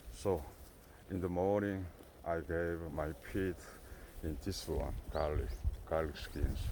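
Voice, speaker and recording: A man speaks with a very deep, low pitch, a dark, mellow tone and vocal fry, keeping ordinary pitch variation. His pace is very slow, with long, frequent pauses and audible room echo. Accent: Korean. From South Korea. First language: Korean. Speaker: goat farmer. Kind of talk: casual vlog talk. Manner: halting.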